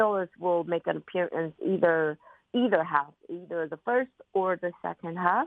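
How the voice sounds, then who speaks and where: Here a woman has a plain, everyday voice at a fairly low pitch. She keeps a moderate pace and fairly even intonation. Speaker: violinist. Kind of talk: interview.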